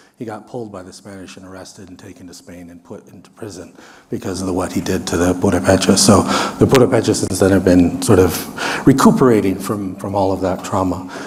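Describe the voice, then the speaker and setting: A man with an American accent speaks at a very fast pace in a very deep, low pitch, with fairly even intonation and big swings in loudness. Audible room echo and noticeable background noise surround him. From US Midwest. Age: 60s. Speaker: researcher. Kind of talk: lecture.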